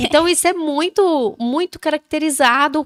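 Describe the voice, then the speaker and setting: Delivered at a fairly slow pace, the speech has a dry, close sound with no echo. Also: woman. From Brazil, Goiás. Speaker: podcast host, mother. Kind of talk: casual chat.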